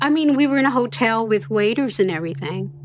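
A woman's fairly high voice makes very wide pitch swings. Noticeable background noise plays behind her. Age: 60s. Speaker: abuse survivor, daughter of the family. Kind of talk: interview testimony.

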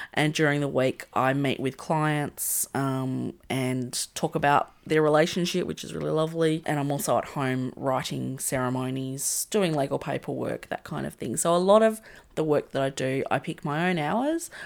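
A woman with an Australian accent talks at a moderate pace in a very deep, low pitch, with ordinary pitch variation and hardly any pauses. The recording is very clean, with a silent background. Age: 30s. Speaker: podcast host and wedding celebrant. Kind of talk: casual interview chat. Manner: halting, many fillers.

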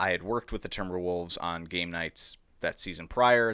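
A man with a Minnesotan accent and very deep, low pitch, bright, sharp tone, moderate pace, ordinary pitch variation, and a very clean recording with a silent background. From Edina, Minnesota. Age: 20s. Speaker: guest. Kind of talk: casual chat.

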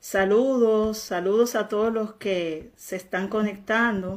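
A woman's intonation stays fairly even as she speaks at a very slow pace. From Dominican Republic. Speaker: online faith and health show host. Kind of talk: live religious interview.

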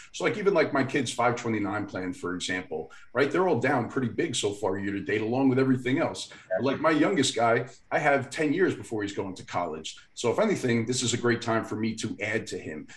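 Somewhat breathy, a man speaks at a fairly quick pace and a medium pitch with lively intonation. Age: 40s. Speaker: finance podcast co-host. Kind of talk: casual chat.

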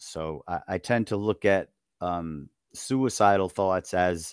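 A man with a New York accent and a very deep, low voice speaks in a very clean recording with a silent background and a dry, close sound with no echo. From US Northeast, Long Island, New York. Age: 50s. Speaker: author and retired teacher. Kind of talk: interview. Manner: halting, many fillers.

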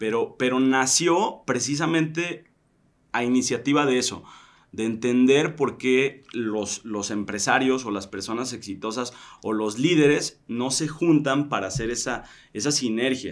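The pace is fairly slow, and pitch varies in an ordinary way. It is an ordinary speaking voice. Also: man, medium pitch for a man. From Tequila, Jalisco, Mexico. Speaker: event organizer and founder of a business leaders network. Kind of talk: casual interview conversation.

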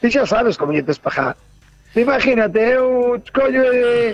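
A man's extremely high voice at a moderate pace, with noticeable background noise. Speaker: truck driver. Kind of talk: casual chat.

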